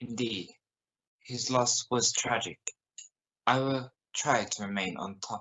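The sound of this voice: A man puts on a character voice at a medium pitch, speaking slowly with a bright, sharp tone, a slightly husky edge and ordinary pitch variation.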